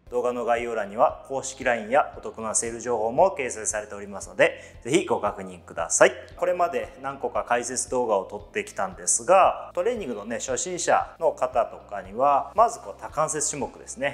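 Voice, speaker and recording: With faint music in the background, a man talks at a moderate pace with hardly any pauses and big swings in loudness. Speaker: personal trainer. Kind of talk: tutorial. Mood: friendly, animated explaining. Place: gym. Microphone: lapel.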